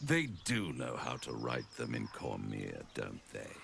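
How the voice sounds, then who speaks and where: A man puts on a character voice and takes a fairly slow pace, with clear background noise behind him. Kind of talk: villainous charm. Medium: video game. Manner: silky, theatrical, mocking.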